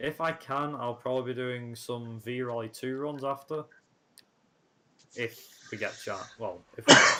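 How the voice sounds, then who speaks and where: Speaking at a fairly slow pace, a man has a medium pitch and fairly even intonation. Noticeable background noise runs underneath. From northern England, Manchester. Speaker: gaming streamer. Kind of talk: casual chat. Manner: lazy diction.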